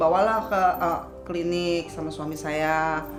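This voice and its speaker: A woman's voice carries audible room echo. Music plays in the background. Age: 50s. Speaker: stroke survivor. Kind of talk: interview.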